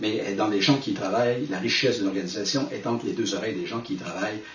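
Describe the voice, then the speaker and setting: With a Quebec accent, a man at medium pitch talks at a very fast pace amid noticeable background noise and audible room echo. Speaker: management consultant and speaker. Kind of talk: recorded talk to camera.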